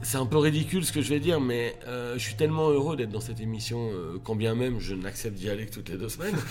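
A man talks at a very fast pace with lively intonation and a medium pitch. Music plays in the background, and the room echo is audible. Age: 40s. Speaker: comedian. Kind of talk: casual chat.

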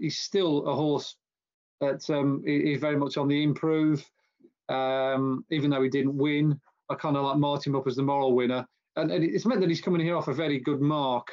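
A voice in a British accent at a moderate pace, with fairly even intonation and very even loudness. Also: man. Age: 50s. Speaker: racing tipster and columnist. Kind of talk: casual chat. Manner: halting.

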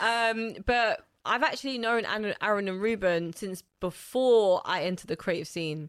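With a London accent, a woman speaks at a moderate pace and medium pitch, with ordinary pitch variation and hardly any pauses. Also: very clean recording, silent background. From Zambia (Lusaka) and London. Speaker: DJ and multidisciplinary artist. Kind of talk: casual interview chat.

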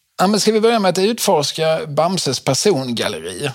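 Lively intonation marks this man's speech. Noticeable background noise sits behind him. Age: 40s. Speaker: podcast host. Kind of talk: casual chat.

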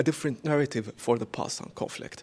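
A man's monotone, flat delivery with an Arabic accent. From Iraq. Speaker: painter. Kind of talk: interview. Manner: halting.

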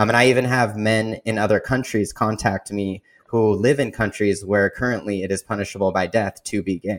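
In a very clean recording with a silent background, a man with an ordinary speaking voice talks at a fairly quick pace with hardly any pauses, a fairly low pitch and fairly even intonation. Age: 30s. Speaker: lifestyle and fitness coach. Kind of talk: interview.

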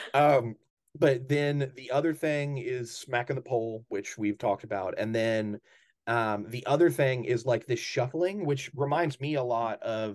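A moderate pace with ordinary pitch variation. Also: man. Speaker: guest expert on sumo. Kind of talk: casual chat. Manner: rambling, enthusiastic.

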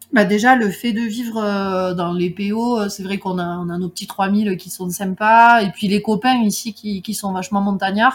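Somewhat breathy and medium-pitched, a woman talks at a fairly slow pace with fairly even intonation. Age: 30s. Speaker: mountaineer and trail runner. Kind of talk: casual chat.

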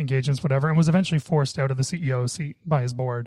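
In a dry, close recording with no echo, a man speaks at a fairly high pitch with a dark, mellow, somewhat breathy tone and ordinary pitch variation. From Canada. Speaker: tech executive and workplace consultant. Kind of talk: podcast interview conversation. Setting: video call.

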